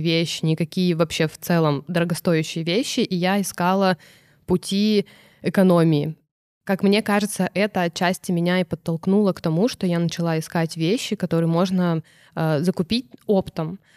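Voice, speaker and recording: A woman uses a normal speaking voice at a fairly low pitch and a moderate pace, with fairly even intonation. The recording is very clean, with a silent background and a dry, close sound with no echo. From Irkutsk Oblast, Russia. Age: 30s. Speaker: fashion brand founder. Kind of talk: interview.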